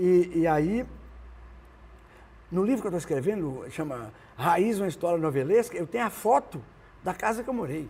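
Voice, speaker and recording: A man with a northern Minas Gerais accent speaks at a high pitch and moderate pace, his pitch swinging very widely. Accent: northern Minas Gerais Brazilian Portuguese. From Brazil, northern Minas Gerais (Montes Claros). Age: 70s. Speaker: singer-songwriter. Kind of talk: interview, casual chat. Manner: halting, many restarts.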